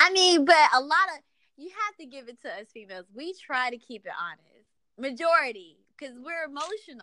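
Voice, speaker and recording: Bright and sharp in tone, a raised, projected voice moves at a moderate pace with very wide pitch swings and big swings in loudness. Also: woman, high pitch for a woman. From Georgia. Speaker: podcast host. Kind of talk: casual chat.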